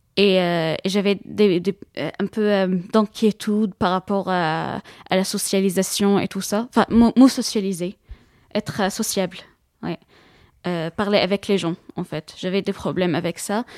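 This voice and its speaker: A woman with an Arabic accent speaks very slowly, at a medium pitch, with fairly even intonation and long, frequent pauses. The recording is very clean with a silent background and has a dry, close sound with no echo. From Syria. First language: Arabic (speaking French). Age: 20s. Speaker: student, former refugee. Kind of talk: interview testimony. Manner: halting, many hesitations and repetitions.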